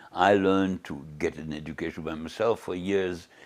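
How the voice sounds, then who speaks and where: Speaking at a moderate pace with a German accent, a man with a very deep, low pitch comes through in a very clean recording with a silent background. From Germany (Bielefeld). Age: 80s+. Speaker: Holocaust survivor. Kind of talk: interview. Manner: halting, with many repetitions.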